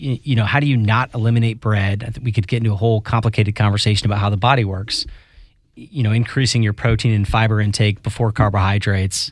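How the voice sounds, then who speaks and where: A man with an American accent speaks at a very fast pace. His voice is fairly low, somewhat breathy, and fairly even in intonation. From US Virgin Islands. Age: 40s.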